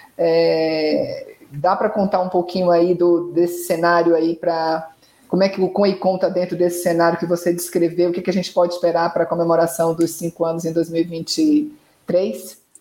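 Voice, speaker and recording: A woman speaks in a fairly low, dark, mellow voice with monotone, flat intonation. Her pace is moderate, with hardly any pauses. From Brazil, Salvador. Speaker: communications consultant acting as interviewer. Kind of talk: interview. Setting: live online stream.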